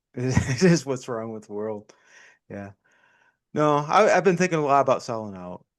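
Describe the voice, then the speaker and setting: A man of medium pitch at a moderate pace, lively in intonation, with big swings in loudness, long, frequent pauses and a quiet background. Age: 50s. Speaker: podcast co-host. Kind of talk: casual chat.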